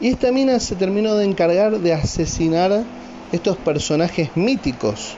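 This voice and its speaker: High-pitched male speech at a moderate pace, with lively intonation, very even loudness and noticeable background noise. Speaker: podcaster. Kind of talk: casual monologue. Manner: animated.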